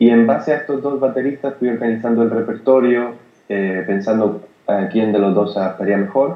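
A man talks in a plain, everyday voice. His pace is moderate and his pitch variation ordinary. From Spain, Granada (Andalusia). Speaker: jazz pianist. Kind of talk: interview.

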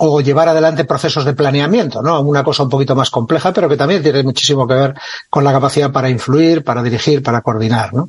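With fairly even intonation, a man speaks in an ordinary speaking voice at a fairly high pitch. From Catalonia, Spain (Lleida). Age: 60s. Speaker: retired army officer and author. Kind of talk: interview conversation.

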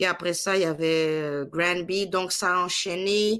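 A woman speaks at a fairly low pitch in a normal speaking voice. Her pitch varies in an ordinary way. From Ivory Coast. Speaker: singer. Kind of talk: interview.

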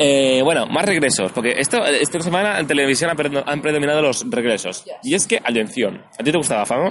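Over noticeable background noise, a man with a fairly high pitch talks at a fairly quick pace, his voice making very wide pitch swings. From Barcelona, Spain. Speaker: podcast host. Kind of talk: casual chat. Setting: recorded in person outdoors near an event venue.

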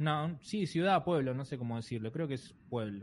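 A man speaks at a medium pitch with very wide swings in pitch over a quiet background. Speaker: comedian and podcast host. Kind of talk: casual chat.

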